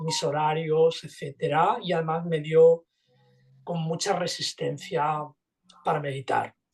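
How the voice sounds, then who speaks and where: A man speaks at a very slow pace. His fairly high voice stays monotone and flat. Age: 60s. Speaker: meditation teacher. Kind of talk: interview. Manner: halting.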